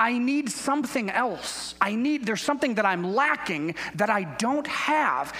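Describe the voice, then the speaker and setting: Over noticeable background noise, a man uses a raised, projected voice with very wide pitch swings and hardly any pauses. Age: 40s. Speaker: guest pastor. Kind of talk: sermon. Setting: church.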